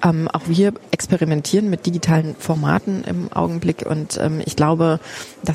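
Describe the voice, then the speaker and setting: Her voice is fairly low for a woman, and she speaks at a fairly quick pace. Noticeable background noise runs underneath. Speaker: foundation program director. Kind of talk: casual walking museum tour conversation. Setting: walking through a crowded museum.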